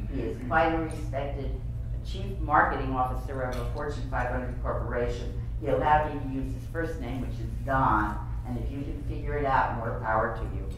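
Strong room echo and noticeable background noise accompany a woman speaking at a moderate pace. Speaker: advertising executive and author. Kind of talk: luncheon keynote speech. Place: hall. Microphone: camera far.

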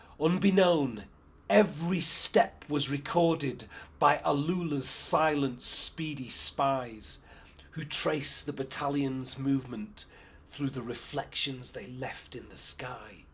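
Somewhat breathy, a man speaks at a very slow pace and a fairly high pitch, with ordinary pitch variation and big swings in loudness. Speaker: poet. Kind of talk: poetry reading. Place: home room.

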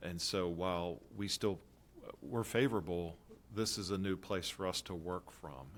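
This man's voice sits very deep and low, with pitch that varies in an ordinary way. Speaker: school system administrator. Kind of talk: board work session presentation. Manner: fast.

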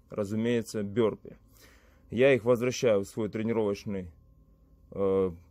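Over a quiet background, the voice moves at a fairly slow pace with fairly even intonation in a dry sound with no echo. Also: man. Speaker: fitness vlogger. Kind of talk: casual vlog chat. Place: gym.

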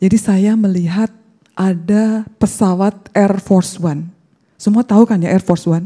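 Over a quiet background, a woman speaks in a dark, mellow, somewhat breathy tone with ordinary pitch variation. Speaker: bible college student; speaker. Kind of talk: testimony. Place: hall. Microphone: handheld.

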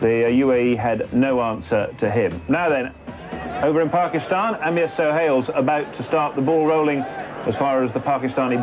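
Over music in the background, a man with a fairly high pitch talks at a moderate pace with lively intonation and very even loudness. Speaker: cricket commentator. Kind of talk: live cricket commentary, summary. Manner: relaxed, conversational.

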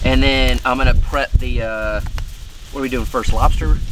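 With noticeable background noise but a dry sound and no echo, a man talks at a moderate pace. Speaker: outdoor cooking vlogger. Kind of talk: casual vlog chat. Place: forest.

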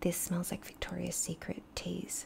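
At a moderate pace, a woman speaks in a whisper. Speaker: beauty vlogger. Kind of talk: casual vlog chat. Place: home room. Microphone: studio mic.

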